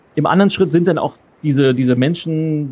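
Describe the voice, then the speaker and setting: A man talks in a fairly high pitch with ordinary pitch variation. His tone is dark and mellow. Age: 40s. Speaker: keynote speaker and change expert. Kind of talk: interview.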